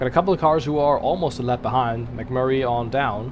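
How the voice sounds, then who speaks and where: A man talks at a fairly quick pace with a German accent. His pitch varies in an ordinary way. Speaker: sim racing streamer. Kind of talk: live gaming commentary. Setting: live stream. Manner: casual, animated.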